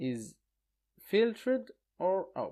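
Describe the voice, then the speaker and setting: A man speaks at a very slow pace. The recording is very clean, the background silent. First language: not English. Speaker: online course instructor. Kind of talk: tutorial. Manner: hesitant, many fillers.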